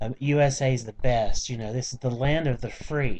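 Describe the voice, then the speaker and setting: A man speaks at a moderate pace with a Southern US accent. His pitch sits in the medium range. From US South, small-town Georgia. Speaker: vlogger. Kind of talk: casual vlog rant. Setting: home, on computer webcam. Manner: animated.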